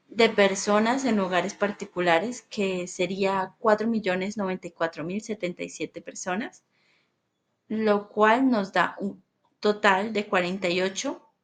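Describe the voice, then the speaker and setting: This woman's delivery is fairly unhurried, and her intonation stays fairly level. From Colombia, Bucaramanga (Santander). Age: 20s. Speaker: student. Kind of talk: class presentation. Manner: halting, with fillers.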